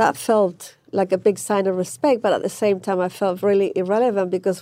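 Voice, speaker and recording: Her voice medium in pitch for a woman, she speaks in a dark, mellow tone with ordinary pitch variation. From Chile, raised in Manchester, England. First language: Spanish. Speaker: fashion designer. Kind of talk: interview.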